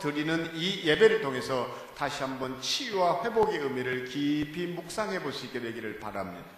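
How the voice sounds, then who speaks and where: The intonation is lively, with audible room echo and noticeable background noise behind the voice. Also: man. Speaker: guest preacher. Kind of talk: sermon. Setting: church. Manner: animated.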